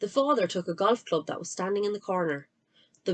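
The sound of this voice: An unforced reading voice with ordinary pitch variation over a quiet background.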